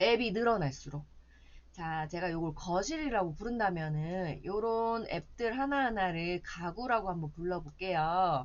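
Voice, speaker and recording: Amid audible room echo, a woman speaks at a fairly slow pace with lively intonation. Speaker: smartphone class instructor. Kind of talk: lecture. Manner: slow, patient explaining.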